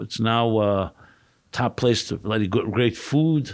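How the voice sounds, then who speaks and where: A man with an American accent speaks at a medium pitch with ordinary pitch variation, recorded very cleanly against a silent background. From New York, Brooklyn (Crown Heights). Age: 60s. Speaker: rabbi and author. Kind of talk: podcast interview.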